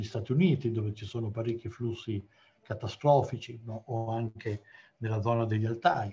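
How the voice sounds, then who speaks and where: With a somewhat breathy sound, a man speaks at a moderate pace. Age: 60s. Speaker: geology professor. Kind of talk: lecture. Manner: halting. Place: home room. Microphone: video call.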